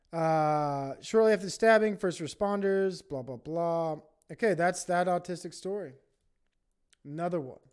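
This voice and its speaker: A man with a high-pitched voice talks at a moderate pace with ordinary pitch variation. The recording is very clean, with a silent background. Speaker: podcast host doing solo comedy monologue. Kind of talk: stand-up style comedy monologue, riffing on news, profane. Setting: home recording, livestream with chat. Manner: crude, profane, ranting.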